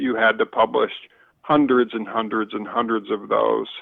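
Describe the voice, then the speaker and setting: A man with a northern US accent speaks at a moderate pace. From Michigan, US Midwest. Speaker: outdoor writer and marketer. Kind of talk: podcast interview.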